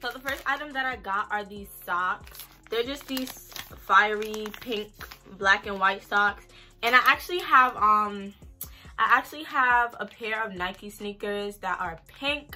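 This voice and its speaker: A woman's fairly slow speech with big swings in loudness, ordinary pitch variation and faint music in the background. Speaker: fashion vlogger. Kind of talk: casual vlog chat. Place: home room. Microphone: camera far.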